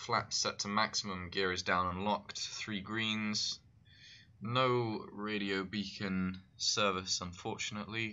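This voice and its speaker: A British accent with fairly even intonation. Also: man. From United Kingdom. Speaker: flight sim streamer. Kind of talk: live gameplay commentary.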